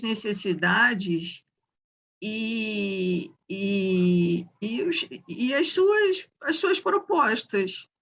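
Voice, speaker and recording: A woman talks in a medium-pitched voice. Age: 60s. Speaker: psychiatrist, discussion group participant. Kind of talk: group discussion. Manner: halting.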